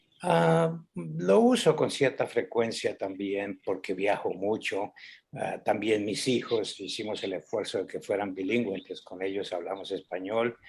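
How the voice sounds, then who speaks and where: At a fairly slow pace with hardly any pauses, a man talks with a fairly low pitch and ordinary pitch variation. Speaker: cultural center director and author. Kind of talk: interview. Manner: repetitive, self-correcting.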